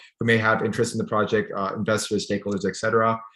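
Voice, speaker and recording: The man's voice has a medium pitch. His pace is very fast. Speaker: startup founder presenting app. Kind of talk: Q&A answer at virtual pitch event. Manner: halting.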